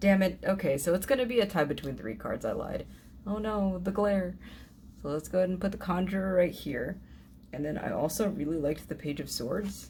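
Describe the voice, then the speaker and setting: A woman with a medium pitch talks at a fairly quick pace. Her lively intonation carries some vocal fry. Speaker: tarot YouTuber. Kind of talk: casual review talk. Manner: halting with fillers.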